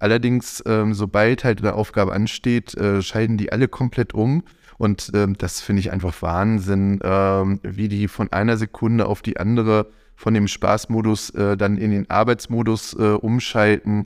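On a very clean recording with a silent background, a man at a fairly low pitch speaks at a moderate pace with fairly even intonation, the sound dry and close with no echo. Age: 40s. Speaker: volunteer press team lead. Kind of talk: interview. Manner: hesitant, many fillers.

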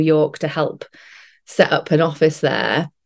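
A quiet background and a British accent. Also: woman. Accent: regional British. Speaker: actress. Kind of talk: casual chat.

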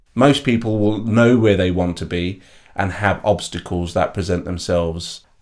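A fairly low-pitched man with a London accent in a very clean recording against a silent background. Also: ordinary pitch variation, moderate pace. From East London, England. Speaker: behavioral change coach and NLP trainer. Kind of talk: interview.

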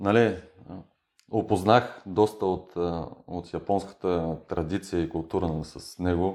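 Dark, mellow tone from a man at a fairly low pitch. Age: 30s. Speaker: footballer. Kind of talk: casual interview. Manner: halting with fillers.

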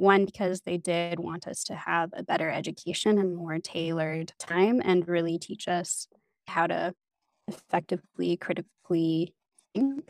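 A woman with an ordinary speaking voice and a Canadian accent talks at a moderate pace and fairly low pitch, recorded in a dry, close sound with no echo. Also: fairly even intonation. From Canada, northeastern British Columbia. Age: 20s. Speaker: people development manager. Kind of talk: interview.

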